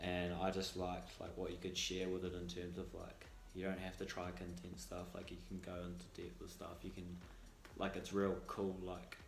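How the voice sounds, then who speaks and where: In a room with audible echo, a man with a New Zealand accent talks at a moderate pace in a very deep, low voice with monotone, flat intonation. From New Zealand, Auckland. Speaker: student entrepreneur and podcaster. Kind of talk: casual chat.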